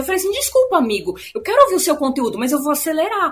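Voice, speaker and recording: A woman speaks in a raised, projected voice, her pitch swinging very widely. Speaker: film podcast co-host. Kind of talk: casual chat. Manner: fast.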